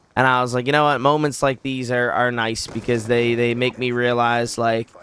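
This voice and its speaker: A man at a medium pitch talks at a moderate pace in a monotone, flat delivery against noticeable background noise. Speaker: YouTuber. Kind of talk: personal storytelling. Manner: casual, halting.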